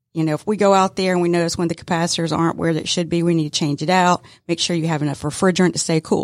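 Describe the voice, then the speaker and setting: Flat, monotone speech from a woman in a Southern US accent, fairly low in pitch, on a very clean recording with a silent background. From metro Atlanta, Georgia. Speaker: HVAC business co-owner. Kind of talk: casual interview. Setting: studio.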